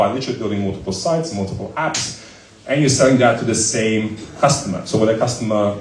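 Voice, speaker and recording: A man talks at a very fast pace. Audible room echo and noticeable background noise accompany him. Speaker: startup founder and CEO. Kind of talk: live Q&A interview. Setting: stage with audience. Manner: loud.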